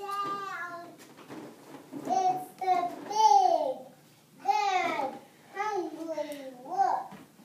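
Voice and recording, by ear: A put-on character voice pitched extremely high, with a slight echo around it.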